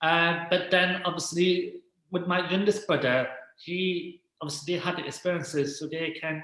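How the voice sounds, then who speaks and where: Audible room echo surrounds a man speaking at a high pitch. He keeps a moderate pace and a fairly even intonation. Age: 20s. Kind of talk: casual interview chat. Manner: halting, many fillers.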